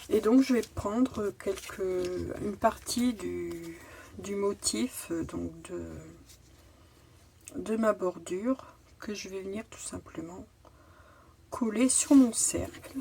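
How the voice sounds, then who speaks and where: Moving at a very slow pace, a woman speaks with long, frequent pauses and big swings in loudness. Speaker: crafting youtuber. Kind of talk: tutorial. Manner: halting.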